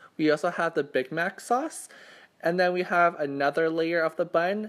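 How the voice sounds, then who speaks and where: Over a silent background in a very clean recording, a woman with a Canadian accent speaks at a moderate pace with fairly low pitch. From Canada. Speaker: mukbang YouTuber. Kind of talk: eating show chat. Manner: casual, halting with stumbles.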